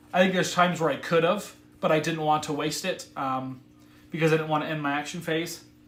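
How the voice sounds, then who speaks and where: A man with a fairly high pitch at a very fast pace, in audible room echo. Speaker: board game streamer. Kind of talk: live gameplay commentary. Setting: live stream. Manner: animated.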